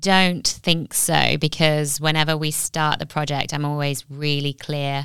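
In a very clean recording with a silent background, a woman speaks at a very slow pace with a very deep, low pitch and a bright, sharp tone. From Nottingham, England. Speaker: graphic designer and business owner. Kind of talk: casual interview chat.

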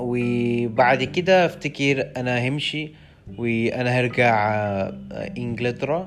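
With an English accent, a man speaks at a very slow pace with ordinary pitch variation. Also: medium pitch for a man. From London, England. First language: English (speaking Arabic). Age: 20s. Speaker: language student. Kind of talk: solo podcast monologue. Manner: halting, many hesitations.

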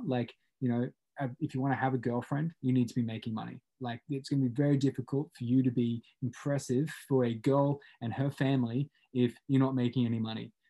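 A man with a plain, everyday voice at medium pitch, fairly even intonation and a fairly quick pace. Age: 20s. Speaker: podcast host. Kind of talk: casual chat.

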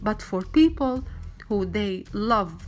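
A woman speaks at a medium pitch with an Arabic accent. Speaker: wellness vlogger. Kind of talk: motivational monologue. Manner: halting, many fillers.

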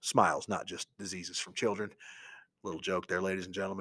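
A man with an American accent talks in a bright, sharp, animated tone. The recording is very clean, with a silent background. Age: 40s. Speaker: teacher and podcast host. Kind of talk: solo podcast monologue.

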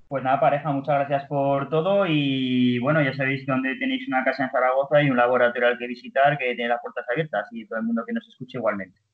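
Very fast male speech at medium pitch, fairly even in intonation, with hardly any pauses. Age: 30s. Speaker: podiatrist and running biomechanics researcher. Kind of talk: interview.

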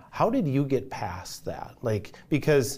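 A man speaks with a dark, mellow tone and lively intonation. His pace is fairly slow. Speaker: interviewer, client success manager. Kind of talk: casual interview chat.

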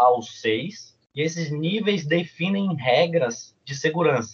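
The man's voice is fairly high and somewhat breathy. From Salvador, Bahia, Brazil. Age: 20s. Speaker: university student and cheerleading athlete. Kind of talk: casual podcast interview.

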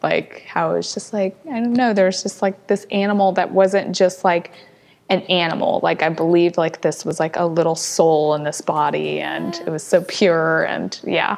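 This is a normal speaking voice with an American accent. The intonation stays fairly even and the pace is moderate. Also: woman, fairly low pitch for a woman. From US Midwest. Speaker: rescue founder. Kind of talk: casual interview chat.

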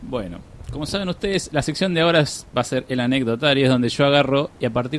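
His voice sits at a medium pitch. The man's pitch variation is ordinary. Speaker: podcast host. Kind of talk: live radio chat. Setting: radio studio. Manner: animated.

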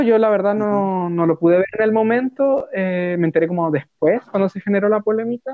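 Someone speaks at a moderate pace with a Chilean accent. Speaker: podcast co-host. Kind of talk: casual chat.

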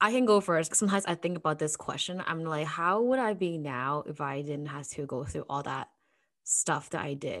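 Against a quiet background, a woman with a very deep, low pitch speaks at a moderate pace with lively intonation. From Hong Kong, moved to Canada. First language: Cantonese. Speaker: podcast host.

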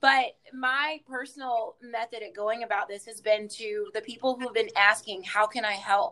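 In a Southern US accent, the voice moves at a moderate pace with hardly any pauses. The tone is bright and sharp, with ordinary pitch variation and big swings in loudness. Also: woman, fairly high pitch for a woman. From South Carolina, Hartsville. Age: 20s. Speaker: dance teacher and choreographer. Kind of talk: interview testimony.

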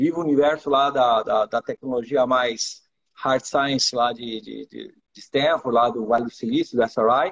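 A man speaks at a fairly slow pace in an ordinary speaking voice, his pitch fairly high. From Iran, raised in Brazil from early childhood. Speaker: startup accelerator executive. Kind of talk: live interview. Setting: live stream.

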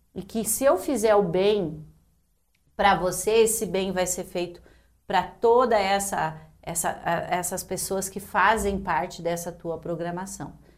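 A woman speaks fairly slowly in a normal speaking voice. Her pitch sits in the middle range, and her intonation stays fairly even. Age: 50s. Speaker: public servants' union president. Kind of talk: casual chat.

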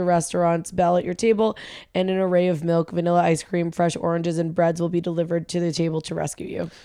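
Her voice is a dark, mellow tone, set at a fairly low pitch for a woman. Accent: American. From New England, US. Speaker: podcast co-host and restaurant manager. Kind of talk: casual chat.

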